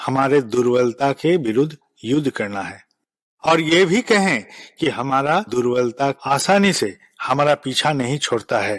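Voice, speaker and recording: Recorded dry and close with no echo, a man with a non-native accent speaks at a fairly high pitch with lively intonation. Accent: non-native Hindi. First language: Bengali (speaking Hindi). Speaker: spiritual leader. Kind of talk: spiritual address. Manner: formal.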